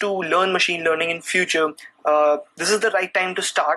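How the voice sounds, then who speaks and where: A man speaks fairly quickly in an Indian accent, his intonation flat and monotone. Noticeable background noise runs beneath him. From India, New Delhi. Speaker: programming content creator. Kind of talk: live stream Q&A chat. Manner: halting, many fillers.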